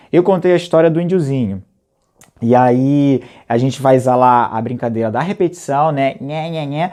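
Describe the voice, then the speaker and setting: Fairly high in pitch for a man, his voice has a dark, mellow tone and keeps a moderate pace. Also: ordinary pitch variation. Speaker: storytelling teacher. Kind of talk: workshop tutorial. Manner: halting.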